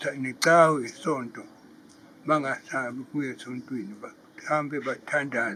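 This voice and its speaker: Against noticeable background noise, a man at medium pitch speaks at a fairly slow pace with fairly even intonation. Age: 80s+. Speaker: competition finalist. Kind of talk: interview.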